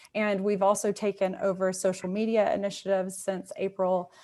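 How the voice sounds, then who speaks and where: A woman with a Mississippi accent, medium in pitch, at a moderate pace. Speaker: museum curator. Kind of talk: presentation. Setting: video call.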